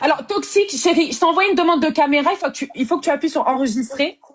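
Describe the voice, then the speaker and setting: At a very fast pace, a woman speaks with a high pitch and lively intonation. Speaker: live-stream host of dating show. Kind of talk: casual live-stream chat. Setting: live video stream. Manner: talkative.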